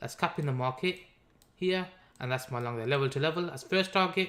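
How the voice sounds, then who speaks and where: A man speaks with a Birmingham accent on a very clean recording with a silent background. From Birmingham, England. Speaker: crypto trader and live stream host. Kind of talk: live stream trading analysis. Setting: live stream. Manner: casual, conversational.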